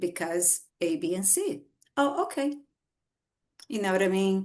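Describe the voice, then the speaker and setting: At a fairly slow pace, a woman talks with a Brazilian Portuguese accent. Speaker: author. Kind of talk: podcast interview.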